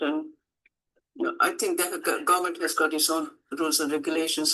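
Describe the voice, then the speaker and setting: Behind a woman's voice, music can be heard in the background. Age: 70s. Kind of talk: casual chat.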